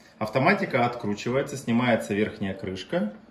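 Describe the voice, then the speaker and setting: Room echo is audible in this clip. A man speaks at a moderate pace. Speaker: pump seller or technician. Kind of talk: tutorial. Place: workshop. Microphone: phone near.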